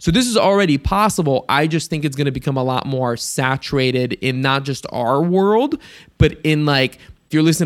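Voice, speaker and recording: A man with an American accent at a moderate pace. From Ohio, US Midwest. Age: 20s. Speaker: entrepreneur, digital nomad. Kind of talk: interview.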